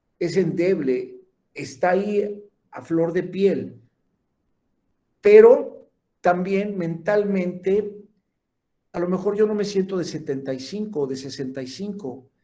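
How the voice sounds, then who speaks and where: A man's high-pitched, dark, mellow voice at a very slow pace, with long, frequent pauses, ordinary pitch variation, big swings in loudness and audible room echo. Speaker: lecturer in gerontology and geriatrics. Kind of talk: lecture.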